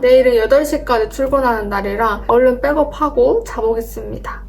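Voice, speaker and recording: Over noticeable background noise, a woman with a high voice speaks at a moderate pace with fairly even intonation. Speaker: office worker and video editor vlogger. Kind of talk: vlog narration. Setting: company dormitory room.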